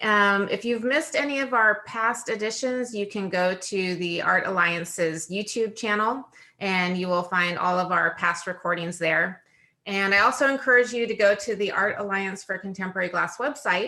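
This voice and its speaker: A bright, sharp tone with ordinary pitch variation at a moderate pace, against a quiet background. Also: woman, medium pitch for a woman. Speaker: webinar host. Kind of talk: online event introduction.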